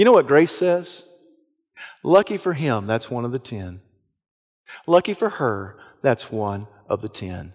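With an American accent, a man at medium pitch talks at a fairly slow pace, using very wide pitch swings, big swings in loudness and long, frequent pauses. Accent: Southern US accent, noticeable to others. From US South. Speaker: pastor. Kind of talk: sermon.

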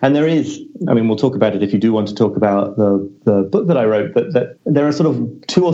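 A man with a British accent, medium pitch, a dark, mellow tone and ordinary pitch variation. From Britain. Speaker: journalist and author. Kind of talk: podcast interview.

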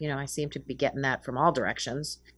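A woman talks with an American accent. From Massachusetts, north of Boston. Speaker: professor. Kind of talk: interview. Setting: video call.

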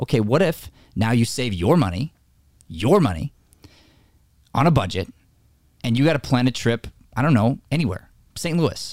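The speaker's voice has vocal fry and an animated tone, with very wide pitch swings. The pace is moderate, broken by long, frequent pauses. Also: man. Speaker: acting coach and podcast host. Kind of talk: casual talk show chat with faith themes. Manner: animated, excitable.

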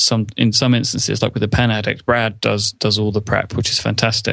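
A man with a normal speaking voice talks at a fairly low pitch with fairly even intonation. The background is quiet. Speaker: podcaster. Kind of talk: casual interview chat.

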